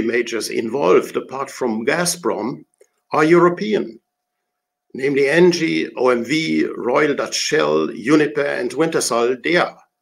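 A German accent comes through. Delivery is fairly slow. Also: man. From Germany. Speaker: retired diplomat. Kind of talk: prepared talk.

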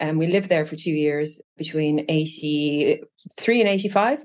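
In an Irish accent, a woman speaks with a fairly low pitch and ordinary pitch variation. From Ireland (Trim, County Meath). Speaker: user experience design lead. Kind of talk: casual interview.

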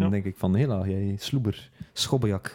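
A man's voice has a dark, mellow tone with ordinary pitch variation. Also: very clean recording, silent background. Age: 20s. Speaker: podcast host. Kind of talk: casual chat.

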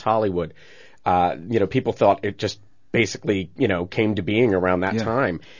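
Pitched fairly low, a man talks in a plain, everyday voice with ordinary pitch variation. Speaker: tour company owner. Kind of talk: casual interview. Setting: studio.

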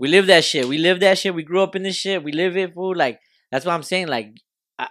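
A man's high-pitched voice, fairly quick and animated, with ordinary pitch variation, on a very clean recording against a silent background. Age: 20s. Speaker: podcast host. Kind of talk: casual chat. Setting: studio.

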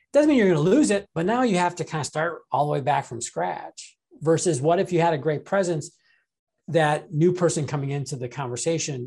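Over a quiet background, a man talks at a fairly quick pace. His voice is high and his intonation lively. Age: 40s. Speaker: sales expert and author. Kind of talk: interview.

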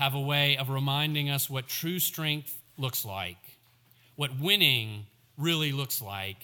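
This is plain reading aloud. The delivery stays plain throughout.

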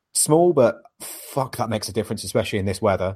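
A man is speaking. His words come in a British accent. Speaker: podcast host. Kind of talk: casual chat.

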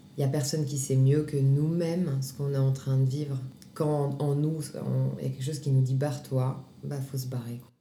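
Against noticeable background noise and audible room echo, a woman with a very deep, low pitch speaks at a moderate pace in a flat, monotone way. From Grenoble, France. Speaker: actress and singer. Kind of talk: testimony.

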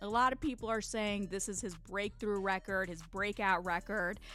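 A woman's medium-pitched voice at a fairly quick pace, with music in the background. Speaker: radio host. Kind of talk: radio DJ patter introducing tracks. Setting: studio. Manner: upbeat, energetic, quick-paced hype.

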